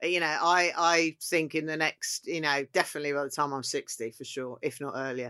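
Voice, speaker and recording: A woman's very deep, low voice in a southeast English accent, bright and sharp in tone, fairly quick, with fairly even intonation over a quiet background. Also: dry, close sound with no echo. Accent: south-east English. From Kent, south-east England. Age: 50s. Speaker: chef. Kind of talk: casual chat.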